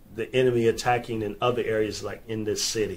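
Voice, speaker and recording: His voice has some breathiness. The man keeps a middling tempo. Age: 50s. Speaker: podcast host. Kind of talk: casual chat. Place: studio. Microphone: studio mic.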